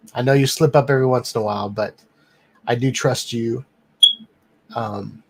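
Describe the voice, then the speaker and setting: A man with a medium pitch speaks at a moderate pace in a relaxed, somewhat breathy tone, with fairly even intonation and long, frequent pauses. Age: 40s. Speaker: live stream host, drone reviewer. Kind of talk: casual live stream chat. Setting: home office studio, live stream. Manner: many filler ums, relaxed.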